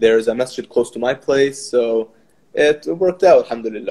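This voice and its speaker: Dark and mellow in tone, a man's voice moves at a fairly quick pace with lively intonation. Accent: Arabic. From Kuwait and Canada. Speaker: social media activist. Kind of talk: casual chat.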